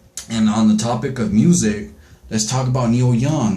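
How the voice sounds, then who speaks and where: Here a man speaks at a fairly slow pace with ordinary pitch variation, amid noticeable background noise and audible room echo. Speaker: astrology vlogger. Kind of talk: casual monologue. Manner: halting, many fillers.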